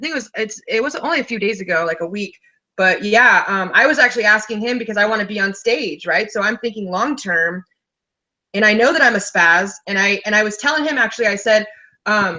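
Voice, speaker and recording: With a bright, sharp tone, a woman speaks at a fairly quick pace in a fairly high pitch with ordinary pitch variation. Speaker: life coach. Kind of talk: casual chat. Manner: fast; high energy.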